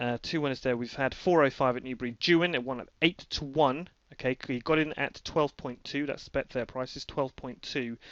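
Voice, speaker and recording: A man speaks with a British accent. His pitch is fairly high and his intonation fairly even. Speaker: horse racing tipster. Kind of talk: screen-recorded promotional update. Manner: fast; hesitant, many fillers.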